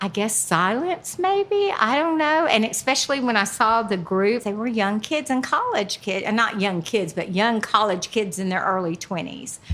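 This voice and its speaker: A woman with a Southern US accent and a fairly high pitch speaks with lively intonation at a moderate pace. Noticeable background noise runs beneath her. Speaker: stand-up comedian, retired teacher. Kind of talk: interview answer.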